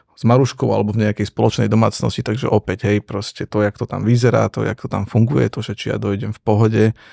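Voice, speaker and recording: Against a silent background in a very clean recording, a man speaks with vocal fry in a dark, mellow tone, his pitch fairly low and intonation fairly even, the sound dry and close with no echo. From eastern Slovakia, Prešov area. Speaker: entrepreneur and father. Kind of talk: casual chat.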